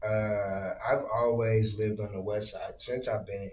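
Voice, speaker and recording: A man with an American accent, amid noticeable background noise. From northern Indiana, Michigan City. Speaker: podcast host. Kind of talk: casual chat.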